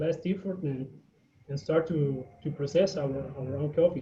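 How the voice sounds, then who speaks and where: A man with a Spanish accent talks at a fairly slow pace. His pitch is fairly high, with ordinary variation. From Guatemala. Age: 20s. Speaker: coffee farmer. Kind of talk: presentation on video call. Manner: halting, many fillers.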